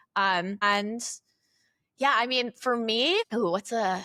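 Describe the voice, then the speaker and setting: A bright, sharp voice with a Chicago accent sounds dry and close with no echo on a very clean recording with a silent background. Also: woman. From Chicago suburbs, Illinois. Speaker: company CEO, former teacher. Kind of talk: casual interview chat.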